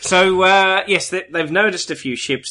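A man speaks with an Australian accent at a moderate pace. His tone is bright and sharp, and the background is quiet. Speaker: podcast co-host. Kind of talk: casual chat.

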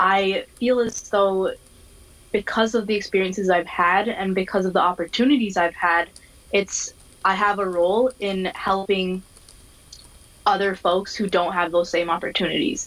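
This is a woman with an American accent and a plain, everyday voice. Her pitch is medium, her intonation fairly even, and her pace moderate. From Minnesota, US. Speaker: diversity and inclusion specialist. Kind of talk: casual interview.

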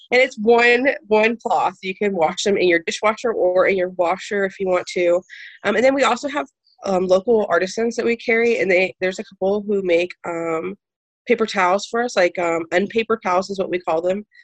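A woman with an ordinary speaking voice, medium pitch, and ordinary pitch variation, at a fairly quick pace in a dry, close sound with no echo. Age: 20s. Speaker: zero waste shop owner. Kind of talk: interview.

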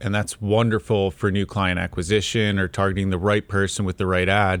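A normal speaking voice at a fairly quick pace, on a very clean recording with a silent background. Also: man. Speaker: marketing team member. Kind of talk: casual chat. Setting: studio.

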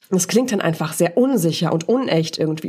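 Very fast, somewhat breathy speech from a woman. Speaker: voice and presentation coach, podcast host. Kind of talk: solo podcast monologue, coaching talk. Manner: casual, conversational with filler words.

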